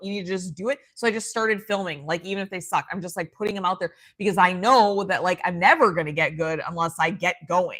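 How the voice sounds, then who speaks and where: A woman speaks at a very fast pace in a medium-pitched voice with a bright, sharp tone. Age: 30s. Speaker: livestream host reading viewer comments. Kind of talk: casual livestream chat. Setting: solo livestream with tripod and computer. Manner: animated.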